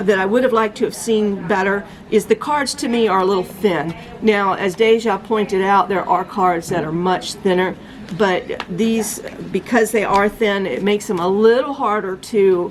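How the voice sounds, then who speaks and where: A woman speaks at medium pitch. Noticeable background noise is present. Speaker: tarot reader. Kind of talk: product review talk. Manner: halting, stuttering; enthusiastic.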